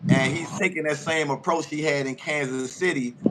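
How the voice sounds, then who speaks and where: Over noticeable background noise, a man with an American accent talks at a moderate pace in a fairly high pitch. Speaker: sports show host. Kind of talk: casual interview. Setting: live stream.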